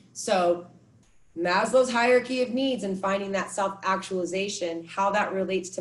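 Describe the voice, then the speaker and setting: In an American accent, a woman speaks at a medium pitch, somewhat breathy. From California. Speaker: meditation and movement teacher. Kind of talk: workshop instruction; guided meditation. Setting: video call. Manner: soft-spoken.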